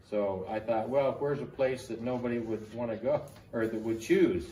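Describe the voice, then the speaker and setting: This voice carries an American accent, with fairly even intonation at a moderate pace. The recording has audible room echo and noticeable background noise. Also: man. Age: 70s. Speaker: army veteran. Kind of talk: oral history interview.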